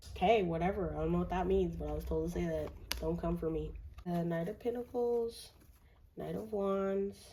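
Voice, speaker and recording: The room echo is audible. Within it, a woman speaks at a moderate pace. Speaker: tarot reader. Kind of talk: tarot reading monologue; casual chat to viewers. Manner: mellow, relaxed; casual, filler-heavy.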